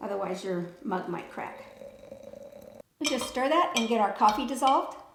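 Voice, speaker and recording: Audible room echo surrounds a woman speaking at a moderate pace. Her high pitch swings very widely. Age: 60s. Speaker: lifestyle vlogger. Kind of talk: tutorial. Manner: casual.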